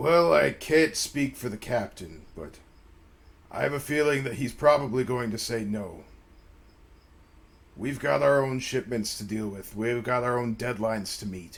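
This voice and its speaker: Putting on a character voice at a medium pitch, a man speaks with long, frequent pauses. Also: moderate pace. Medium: actual play.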